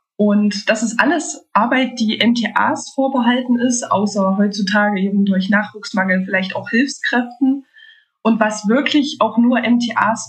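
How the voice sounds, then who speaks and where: A woman speaks in a fairly high pitch with ordinary pitch variation, at a fairly slow pace. Hers is an unremarkable speaking voice. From Thuringia, Germany. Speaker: medical lab technician. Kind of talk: casual interview chat.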